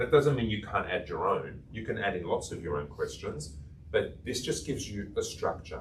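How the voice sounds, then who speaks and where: Audible room echo hangs around the voice. A man talks at a moderate pace. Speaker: coaching trainer. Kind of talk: workshop lecture.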